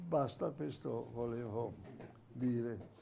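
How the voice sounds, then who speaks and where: Very slowly, a man speaks in a dark, mellow tone. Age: 80s+. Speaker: forum speaker; speaker. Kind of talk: panel discussion. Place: meeting room.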